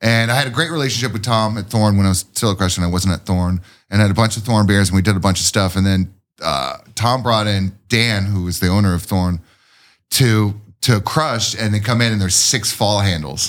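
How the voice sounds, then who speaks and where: With an unremarkable speaking voice, a man with a fairly low pitch talks at a fairly quick pace and ordinary pitch variation in a very clean recording with a silent background. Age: 40s. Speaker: craft brewer. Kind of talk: casual chat.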